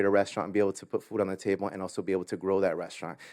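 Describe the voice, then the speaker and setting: Recorded very cleanly with a silent background and a dry, close sound with no echo, a man speaks with a Spanish accent. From Latin America, immigrated to US. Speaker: business owner. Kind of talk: award acceptance speech.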